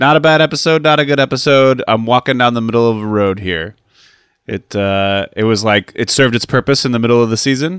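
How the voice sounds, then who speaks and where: A man with an unremarkable speaking voice talks at a fairly quick pace, medium in pitch with ordinary pitch variation, in a dry, close sound with no echo. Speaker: podcast co-host. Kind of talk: casual podcast chat. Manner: joking, irreverent.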